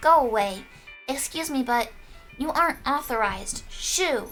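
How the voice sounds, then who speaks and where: A woman uses a high, put-on character voice at a moderate pace. Music plays clearly in the background. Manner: ghostly, eerie.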